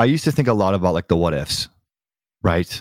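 This man has an American accent. He talks with lively intonation. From San Francisco Bay Area, US. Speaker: podcast production company founder. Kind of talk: casual interview conversation. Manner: calm, reflective.

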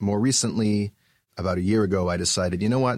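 Fairly even intonation at a moderate pace. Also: man. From Canada, Vancouver. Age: 40s. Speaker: musical theater writer and author. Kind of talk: podcast interview.

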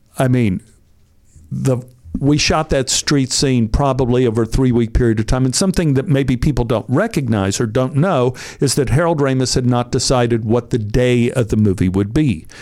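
A man speaks at a moderate pace and medium pitch, with very even loudness and ordinary pitch variation. It is an unremarkable speaking voice. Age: 60s. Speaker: actor. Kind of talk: casual chat. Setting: studio.

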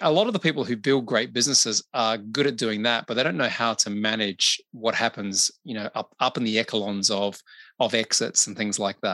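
A man with an Australian accent talks at a fairly quick pace, his pitch medium with ordinary variation. His tone is bright and sharp, and the background is quiet. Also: dry, close sound with no echo. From Australia (Adelaide). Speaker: business consultant and podcaster. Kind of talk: interview conversation.

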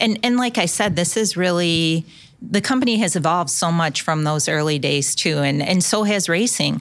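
The loudness stays very even throughout, with a normal speaking voice. The intonation is lively and the pace moderate. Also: woman, fairly low pitch for a woman. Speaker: corporate marketing director. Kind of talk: interview. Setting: at a live event venue.

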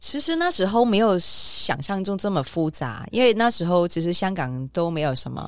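With a Hong Kong accent, a woman at medium pitch speaks at a moderate pace with lively intonation and hardly any pauses, over noticeable background noise. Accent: Hong Kong Cantonese. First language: Cantonese (speaking Chinese). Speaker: restaurant owner and parent. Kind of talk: interview conversation.

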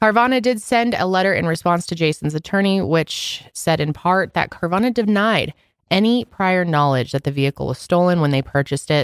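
Over a very clean recording with a silent background and a dry, close sound with no echo, a woman uses a plain, everyday voice at a fairly low pitch, with lively intonation and a fairly quick pace. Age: 20s. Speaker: podcast co-host. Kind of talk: casual chat.

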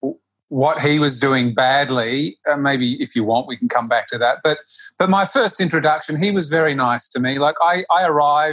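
In an Australian accent, a man speaks at a moderate pace with fairly high pitch and ordinary pitch variation. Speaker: yoga practitioner. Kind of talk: interview conversation.

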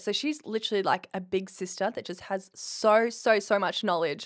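A woman's medium-pitched voice with an Australian accent, fairly even intonation and a moderate pace, on a very clean recording with a silent background. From rural Queensland, Australia. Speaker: bodybuilding competitor. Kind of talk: casual interview.

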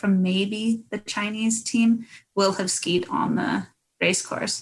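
A woman speaks fairly slowly at a medium pitch in a Canadian accent. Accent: Canadian-sounding. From New Zealand and Canada. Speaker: former Olympic biathlete. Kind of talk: casual interview.

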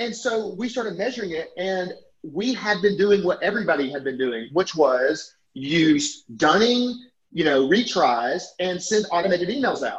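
With an Alabama accent, a man speaks in an animated tone. His pitch is high and swings very widely. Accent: Southern US (Alabama). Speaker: software company CEO. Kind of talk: interview conversation. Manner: fast, talkative.

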